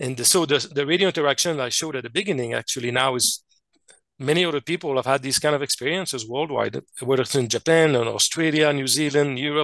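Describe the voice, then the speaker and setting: A man's fairly high voice at a very fast pace, with ordinary pitch movement, in a dry, close recording with no echo and a quiet background. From Quebec / French Canada. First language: French. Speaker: scientist and contact experiencer. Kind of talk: interview presentation. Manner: halting, many fillers and restarts.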